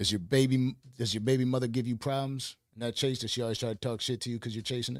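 A man with a medium pitch and an American accent talks at a very fast pace with hardly any pauses. The recording is very clean, with a silent background. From Buffalo, New York. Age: 30s. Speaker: podcast host. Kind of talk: casual chat. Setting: studio. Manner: animated.

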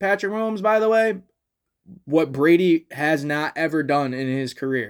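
On a very clean recording with a silent background, a man speaks in an unremarkable speaking voice. His pitch is fairly high, with lively intonation. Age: 20s. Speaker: sports podcast host. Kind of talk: casual solo monologue. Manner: laughs often.

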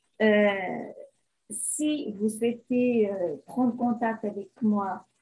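This woman's voice sits at a fairly high pitch with a dark, mellow tone. It is somewhat breathy, with fairly even intonation. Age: 50s. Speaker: beautician, image consultant. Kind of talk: interview.

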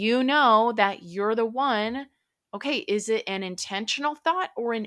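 A woman with an American accent talks at a fairly slow pace with lively intonation and a fairly high pitch. The recording is very clean with a silent background. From central Minnesota. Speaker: podcast host and life coach. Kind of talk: motivational talk. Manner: casual with many fillers.

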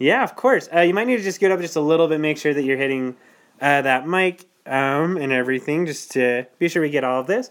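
Fairly quick and lively in intonation, a man speaks at a fairly high pitch. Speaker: podcast host. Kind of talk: casual chat. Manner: loud.

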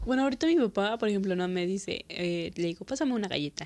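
Her voice is an unremarkable speaking voice at a medium pitch, and the woman's intonation is lively. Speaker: podcast host. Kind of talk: casual chat.

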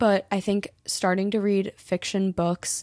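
A woman with an American accent has a dark, mellow tone. The recording is very clean with a silent background, and the sound is dry and close, with no echo. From Colorado. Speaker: podcast host, college student. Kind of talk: casual monologue. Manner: animated.

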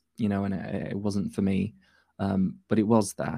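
A man with a Yorkshire accent speaks at a moderate pace in a fairly low pitch with monotone, flat intonation, on a very clean recording with a silent background. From northern England. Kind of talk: casual chat. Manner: halting.

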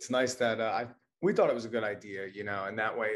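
With an American accent, a man speaks at a very fast pace and a medium pitch. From New Jersey, rural county. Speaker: cannabis sales manager. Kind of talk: casual interview.

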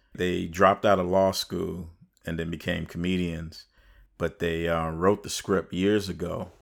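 On a very clean recording with a silent background, a man with a very deep, low voice speaks at a fairly slow pace in a monotone, flat delivery. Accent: American. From Chicago, US Midwest. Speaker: podcast co-host, writer and director. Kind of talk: casual chat.

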